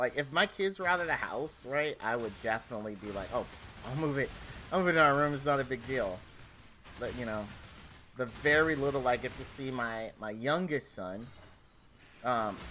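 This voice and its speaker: A man speaks at medium pitch with lively intonation. His pace is moderate, broken by long, frequent pauses. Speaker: gaming streamer. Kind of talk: casual chat. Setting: home game room office. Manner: loud.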